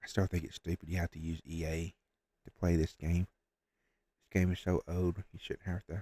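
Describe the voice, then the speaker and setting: In a dry, close sound with no echo, a man speaks with a very deep, low pitch, a dark, mellow tone and monotone, flat intonation. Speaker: gaming streamer. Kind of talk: casual gaming commentary. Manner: quiet, trying not to wake others.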